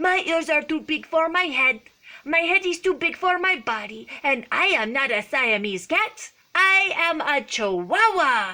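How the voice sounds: In a put-on character voice with a Spanish accent, a woman speaks at a moderate pace and a high pitch.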